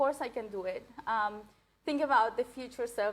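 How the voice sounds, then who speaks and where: Here a woman talks with a fairly high pitch. Her pace is moderate and her intonation fairly even. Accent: non-native. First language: not English. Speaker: coaching graduate. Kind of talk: testimony. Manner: halting, many fillers.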